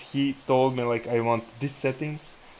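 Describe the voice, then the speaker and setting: Noticeable background noise sits behind a man who speaks at a fairly slow pace with a medium pitch. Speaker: day trader, livestream host. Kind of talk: casual chat over live trading. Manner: stuttering.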